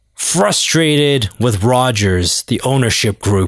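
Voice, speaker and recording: A man with a Canadian accent talks at a very slow pace, his pitch medium with ordinary variation. The sound is dry and close, without any echo. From Canada, Toronto. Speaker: sports podcast host. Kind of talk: casual solo monologue. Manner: animated.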